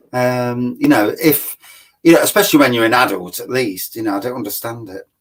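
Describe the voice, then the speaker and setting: A man with an East Midlands accent speaks at a fairly quick pace, his medium pitch varying in an ordinary way while his loudness swings a lot. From Nottingham, England. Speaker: beer reviewer. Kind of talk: casual chat. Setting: live stream.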